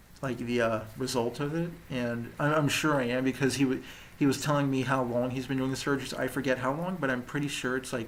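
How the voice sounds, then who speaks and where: Audible room echo around a man at medium pitch, with fairly even intonation and a fairly quick pace. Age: 20s. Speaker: vlogger documenting his jaw surgery. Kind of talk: personal video diary. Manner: halting, many fillers and restarts.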